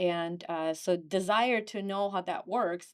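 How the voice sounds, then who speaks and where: Recorded very cleanly against a silent background, a woman with a Ukrainian accent speaks at a medium pitch with ordinary pitch variation. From Ukraine. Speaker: real estate agent. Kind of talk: podcast interview.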